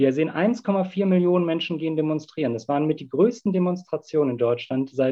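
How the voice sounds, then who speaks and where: Fairly quick male speech, fairly high in pitch, with very wide pitch swings. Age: 30s. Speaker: climate activist. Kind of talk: debate.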